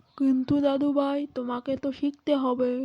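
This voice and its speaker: A woman's cartoonish character voice, high in pitch with monotone, flat intonation. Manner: mild, tired.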